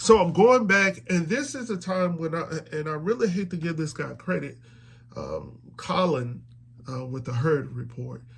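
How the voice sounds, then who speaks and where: An animated man with a high pitch and lively intonation, at a moderate pace, amid audible room echo. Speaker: sports fan commentator. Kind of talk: casual reaction monologue. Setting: at home. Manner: animated, repetitive stammering.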